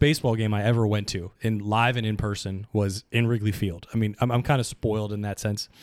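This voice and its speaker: A man with an American accent talks at a fairly quick pace in a fairly low, plain, everyday voice. The very clean recording has a silent background and a dry, close sound with no echo. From Pittsburgh area and New Jersey. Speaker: podcast guest, friend of the hosts. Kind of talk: casual chat.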